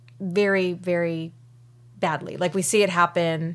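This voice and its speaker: A woman with a plain, everyday voice speaks at a fairly slow pace. Her intonation is fairly even. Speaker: podcast co-host. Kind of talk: casual chat.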